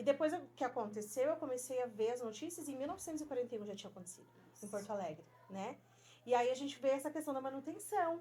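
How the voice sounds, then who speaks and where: Lively intonation and a dark, mellow tone at a fairly quick pace. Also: woman. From Rio Grande do Sul, Brazil. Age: 40s. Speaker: school teacher. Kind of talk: interview conversation.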